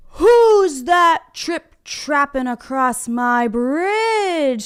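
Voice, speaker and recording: A woman puts on a character voice, speaking at a very slow pace in a high pitch. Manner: screaming, angry.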